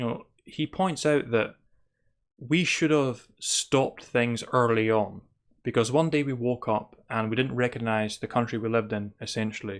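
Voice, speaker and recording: On a very clean recording with a silent background, a man with a Scottish accent speaks at a moderate pace and medium pitch, with ordinary pitch variation. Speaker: spirituality podcaster. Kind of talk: monologue commentary.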